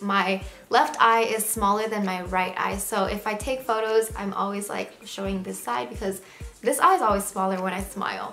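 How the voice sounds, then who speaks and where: Music plays in the background as a woman with an American accent speaks at a moderate pace with fairly even intonation. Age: 20s. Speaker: lifestyle vlogger. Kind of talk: casual vlog monologue.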